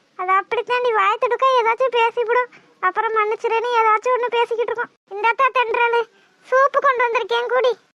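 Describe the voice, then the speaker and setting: A woman does a cartoonish character voice at an extremely high pitch, with monotone, flat intonation at a moderate pace. Her loudness stays very even, and the sound is dry and close with no echo. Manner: blunt, earthy.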